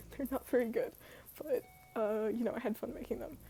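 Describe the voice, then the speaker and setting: Music plays behind a woman as she talks. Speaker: artist. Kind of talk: casual talk to camera. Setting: poor microphone recording.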